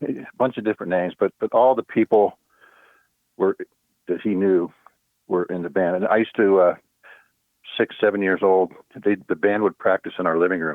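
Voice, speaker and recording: Speaking at a fairly quick pace with long, frequent pauses, a man uses fairly even intonation at a fairly low pitch. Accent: American. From US, central Pennsylvania (Altoona). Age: 60s. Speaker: musician. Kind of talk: casual interview. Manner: halting, many fillers and restarts.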